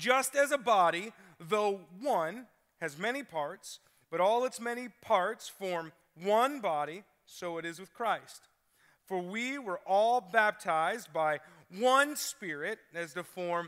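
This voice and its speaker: A man speaks at a very slow pace in a bright, sharp tone, his loudness swinging widely against a quiet background. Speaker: preacher. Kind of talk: sermon. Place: church. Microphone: headset.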